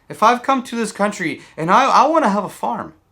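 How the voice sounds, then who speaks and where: A man speaks in an extremely high pitch with a bright, sharp tone and lively intonation. His voice is raised and projected, and his pace is fairly slow. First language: Spanish. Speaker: political video blogger. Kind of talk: emotional political monologue. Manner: halting, many repetitions; impassioned.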